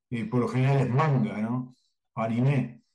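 A man's voice sits at medium pitch with ordinary pitch variation and a dark, mellow tone. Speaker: cartoonist and drawing teacher. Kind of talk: interview.

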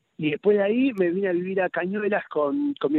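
A man with a Rosario accent, high-pitched, at a very fast pace. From Argentina, Rosario then Buenos Aires. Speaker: pediatrician and writer. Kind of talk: radio interview. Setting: at home, remote interview.

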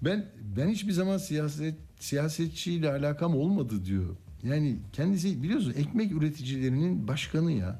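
Somewhat breathy male voice, fairly high in pitch with a dark, mellow tone, very wide pitch swings, very even loudness, a moderate pace and audible room echo. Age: 60s. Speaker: radio news host. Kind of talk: radio talk show.

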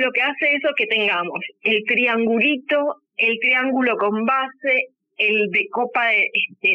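A woman's normal speaking voice at a fairly slow pace, with ordinary pitch variation. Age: 40s. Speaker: lingerie brand founder. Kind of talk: interview.

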